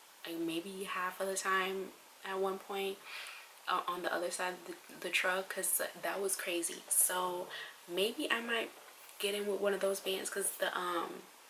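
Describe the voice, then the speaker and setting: Amid noticeable background noise and audible room echo, a woman with a medium pitch speaks at a fairly slow pace in a monotone with flat intonation, leaving long, frequent pauses. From Trinidad. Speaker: travel vlogger. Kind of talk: casual vlog monologue. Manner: casual, hesitant with fillers.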